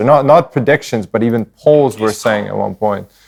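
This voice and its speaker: An unremarkable speaking voice from a man, moderate in pace with ordinary pitch variation. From Canada, Ukrainian-born. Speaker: podcast co-host. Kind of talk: casual chat.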